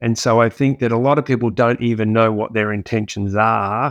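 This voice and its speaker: An Australian accent marks this man's fairly low voice, with monotone, flat intonation. The sound is dry and close, with no echo. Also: quiet background. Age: 50s. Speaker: keynote speaker and business leader. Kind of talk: podcast interview.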